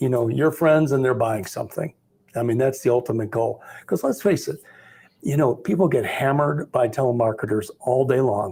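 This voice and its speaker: At a moderate pace, a man speaks with a dark, mellow tone, a somewhat breathy quality and medium pitch. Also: ordinary pitch variation. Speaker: Medicare sales agent. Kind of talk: casual group discussion.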